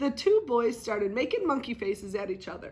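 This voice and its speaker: A put-on character voice from a woman, high-pitched and raspy, with a warm, gentle tone and a fairly quick pace. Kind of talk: bedtime story. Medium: read story. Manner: warm, gentle, animated.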